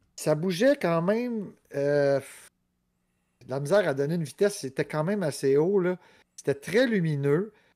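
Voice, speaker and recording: A man with a Quebec accent speaks at a high pitch in a dark, mellow tone, with lively intonation and long, frequent pauses. The recording is very clean, with a silent background. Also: fairly slow pace. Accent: Québécois French. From Montreal, Rosemont. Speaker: podcast co-host. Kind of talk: casual chat.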